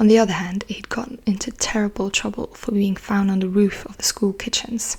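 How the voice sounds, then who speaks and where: Soft-spoken and monotone, a woman at a medium pitch talks at a fairly quick pace, with noticeable background noise behind her flat intonation. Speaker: ASMR creator. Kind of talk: audiobook-style reading of a novel. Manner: soft-spoken, relaxing.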